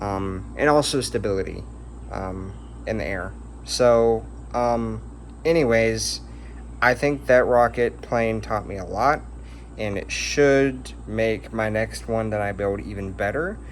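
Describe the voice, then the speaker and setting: Long pauses come often as this man speaks at a fairly slow tempo. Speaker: hobbyist rocket builder. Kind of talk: casual video update. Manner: hesitant with many fillers.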